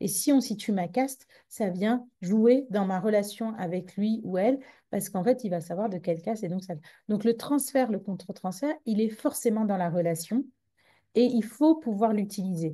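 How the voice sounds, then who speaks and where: A woman speaks with a fairly high pitch and ordinary pitch variation at a moderate pace. Her tone is dark, mellow and somewhat breathy, against a quiet background. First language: Tamil (speaking French). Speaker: psychologist. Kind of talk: conference talk. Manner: halting with many repetitions.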